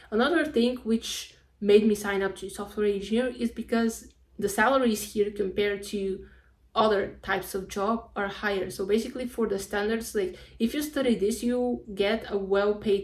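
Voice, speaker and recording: At a moderate pace, a woman with a Spanish accent talks at medium pitch with fairly even intonation. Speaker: vlogger, university student. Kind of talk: casual vlog monologue. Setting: at home.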